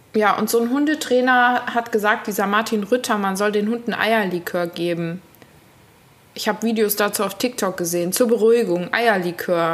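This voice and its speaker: Here a woman uses a normal speaking voice with a fairly high pitch. She keeps a moderate pace, and her pitch varies an ordinary amount. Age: 30s. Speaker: podcast co-host. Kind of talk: casual chat.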